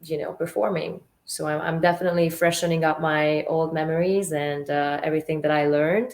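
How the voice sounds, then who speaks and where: With a Hungarian accent, the speaker moves at a fairly quick pace with hardly any pauses. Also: woman, fairly low pitch for a woman, fairly even intonation. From Hungary, Budapest. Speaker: actress and model. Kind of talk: interview. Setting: radio show.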